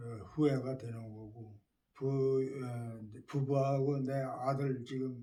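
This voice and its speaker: The voice has a dark, mellow tone, somewhat breathy and monotone with flat intonation, moving at a very slow pace. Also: man. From South Korea, Chungju (North Chungcheong). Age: 80s+. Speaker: war-bereaved family member. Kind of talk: life-story interview. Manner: halting, many fillers and restarts.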